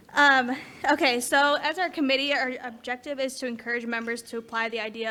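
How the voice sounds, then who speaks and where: Through noticeable background noise, a woman with a high voice talks at a very fast pace. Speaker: committee co-chair at a club meeting. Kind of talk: announcement at a meeting.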